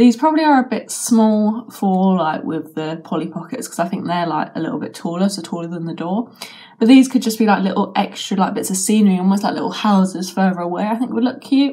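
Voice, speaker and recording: With hardly any pauses, a woman talks in lively intonation over noticeable background noise. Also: medium pitch for a woman. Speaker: toy reviewer. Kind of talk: unboxing review. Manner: casual, hesitant with fillers.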